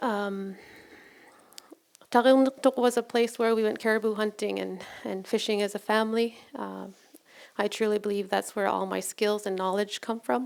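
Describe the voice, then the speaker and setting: Using fairly even intonation, a woman with a Canadian Arctic accent speaks at a moderate pace with long, frequent pauses. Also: medium pitch for a woman. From Nunavut, Canada. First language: Inuktitut. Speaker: nurse and researcher. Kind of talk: storytelling presentation. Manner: halting.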